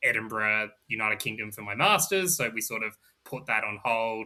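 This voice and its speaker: A man with an Australian accent speaks at a moderate pace. His voice is medium-pitched, with a bright, sharp tone. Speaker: gaming podcaster. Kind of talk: casual chat.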